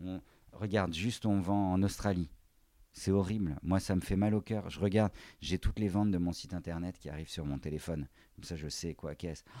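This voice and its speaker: A man speaks at a fairly quick pace with a very deep, low pitch and a dark, mellow tone. His intonation stays fairly even, and the recording is very clean with a silent background. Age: 40s. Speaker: handbag designer. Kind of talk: casual chat. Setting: in his offices and workshops.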